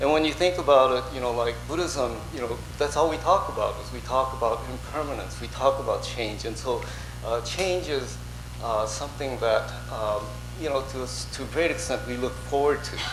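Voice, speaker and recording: Speech comes at a moderate pace, with noticeable background noise and audible room echo around it. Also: man. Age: 60s. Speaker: Buddhist minister. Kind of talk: sermon. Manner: halting, many fillers.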